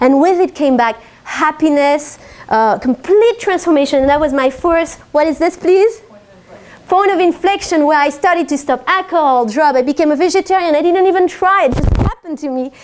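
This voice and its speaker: A woman speaks at a moderate pace with a slight French accent. Her pitch sits high. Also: ordinary pitch variation. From France. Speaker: life and business coach. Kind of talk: talk to a live audience.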